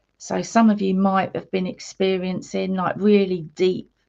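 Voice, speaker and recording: A woman speaks with an English accent at a moderate pace. Her pitch is medium. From England. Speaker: spiritual healer and meditation guide. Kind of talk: live stream chat with viewers. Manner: casual, chatty.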